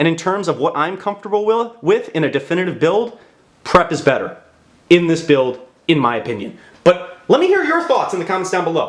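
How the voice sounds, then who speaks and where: This man's tone is animated, with lively intonation. His pitch is high. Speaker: YouTube card game content creator. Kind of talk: deck profile tutorial. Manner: fast; animated, casual.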